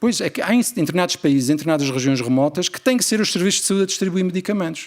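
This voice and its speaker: With an Azorean accent, a man talks at a very fast pace in a high pitch. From Azores, Portugal. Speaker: family doctor and researcher. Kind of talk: conference keynote.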